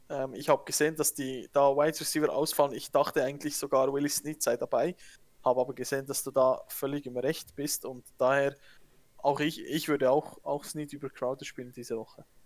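Monotone and flat, a man's voice moves at a fairly quick pace. His pitch is fairly high. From Switzerland. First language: Swiss German (speaking German). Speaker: fantasy football podcaster. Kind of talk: casual chat. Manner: halting, repeats words.

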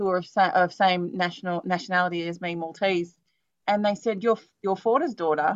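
Recorded with a dry, close sound with no echo and a quiet background, a woman speaks with an Australian accent. Her pitch is medium and her pace fairly quick. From Australia, western Sydney. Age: 40s. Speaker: podcast host. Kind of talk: casual interview chat.

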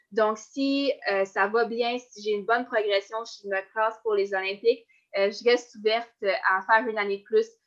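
A woman with a Quebec accent, monotone and flat in intonation, at a moderate pace. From Quebec, Côte-Nord. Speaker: Olympic-level runner. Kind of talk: interview.

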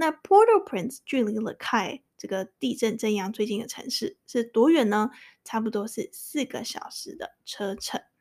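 A woman's fairly high voice at a moderate pace, with very wide pitch swings, big swings in loudness and hardly any pauses, on a very clean recording with a silent background and a dry, close sound with no echo. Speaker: English-learning podcast host. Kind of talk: tutorial; reading aloud.

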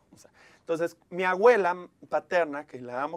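A man speaks with ordinary pitch variation. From Mexico, Monclova, Coahuila. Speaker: TV presenter and life coach. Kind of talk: casual interview chat.

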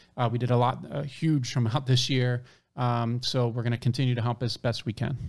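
A man with a plain, everyday voice at medium pitch, fairly quick, with fairly even intonation, on a very clean recording with a silent background. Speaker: podcast co-host. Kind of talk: casual interview chat.

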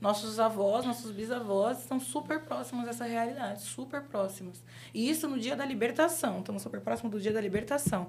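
With lively intonation and hardly any pauses, a woman talks at a fairly quick pace in a fairly high pitch. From São Paulo, Brazil (Guaianases, east side). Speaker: UX/UI designer. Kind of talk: casual interview. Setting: studio.

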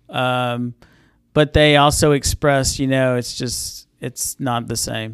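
A very slow, monotone delivery with flat intonation and an American accent, recorded very cleanly against a silent background with a dry, close sound and no echo. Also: man, medium pitch for a man. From Southwest Kansas. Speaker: healthcare executive. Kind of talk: interview.

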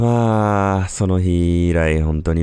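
Very deep and low, a man's voice moves at a very slow pace. His pitch varies in an ordinary way. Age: 30s. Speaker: listener sending a voice memo. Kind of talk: recorded voice memo monologue. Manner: hesitant, many fillers.

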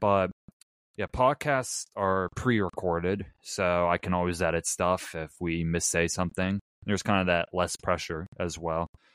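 A man with a very deep, low pitch and an American accent speaks at a moderate pace with ordinary pitch variation, in a dry, close sound with no echo. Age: young. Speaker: podcast co-host, college student. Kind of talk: casual sports chat. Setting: remote recording, video.

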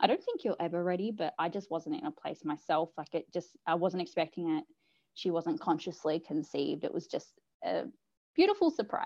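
A woman speaking at a fairly quick pace against a quiet background. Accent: Australian. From Australia, New South Wales South Coast. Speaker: mother sharing birth story. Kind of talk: personal story interview. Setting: video call.

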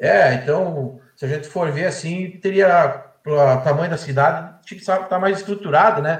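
A man speaks at a moderate pace with a high pitch and ordinary pitch variation. There are hardly any pauses, and room echo is audible. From Erechim, Rio Grande do Sul, Brazil. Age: 40s. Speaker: baker and football fan. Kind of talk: casual chat.

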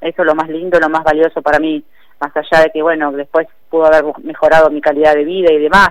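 A woman with a very deep, low voice talks at a very fast pace. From Argentina, Greater Buenos Aires (San Fernando). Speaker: professional boxer. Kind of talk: interview.

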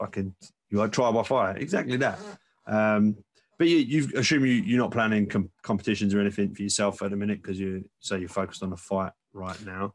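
A man with an English accent talks at a fairly quick pace. His voice is fairly low, with ordinary pitch variation. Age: 30s. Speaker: podcast host. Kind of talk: casual chat.

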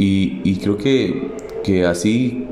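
A man speaks with a Costa Rican accent, his pitch fairly low and ordinary in its variation. Room echo is audible, and background noise is noticeable. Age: 30s. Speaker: podcaster. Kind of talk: personal monologue. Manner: halting.

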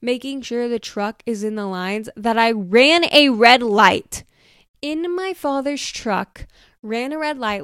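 A woman's high-pitched voice with ordinary pitch variation, on a very clean recording with a silent background. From Oklahoma, US. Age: 20s. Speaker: podcast host, college student. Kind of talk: casual monologue. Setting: home recording at computer. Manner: chatty, filler-heavy.

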